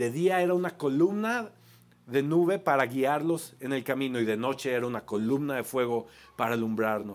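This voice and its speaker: The tone is animated. Pitch variation is ordinary. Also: man. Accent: Mexican. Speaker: pastor. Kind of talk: sermon. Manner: halting.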